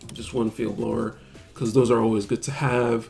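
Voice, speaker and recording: A man speaks at a moderate pace with medium pitch and fairly even intonation. Music plays in the background. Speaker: card game content creator. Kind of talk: casual talk to camera.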